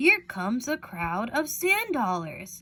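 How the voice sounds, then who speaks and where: Using a put-on character voice, a woman speaks at a high pitch and a fairly slow pace with very wide pitch swings. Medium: read story.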